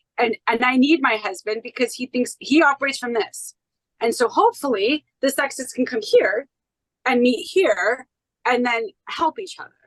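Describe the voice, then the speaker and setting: A woman with an American accent talks loudly in a high pitch with very wide pitch swings. Her pace is moderate. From United States. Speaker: podcast guest, independent researcher. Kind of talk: podcast interview. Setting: podcast interview.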